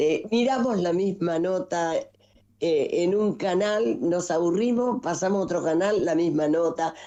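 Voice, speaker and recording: A woman's fairly low voice with a dark, mellow tone, a fairly slow pace and ordinary pitch variation. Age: 80s+. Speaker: nationalist political figure. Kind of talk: interview. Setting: video call.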